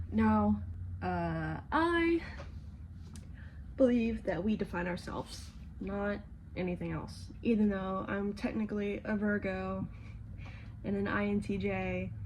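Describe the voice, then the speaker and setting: A soft-spoken woman at a fairly slow pace, with long, frequent pauses and audible room echo. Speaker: vlogger. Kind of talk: casual chat. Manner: low-energy, lethargic.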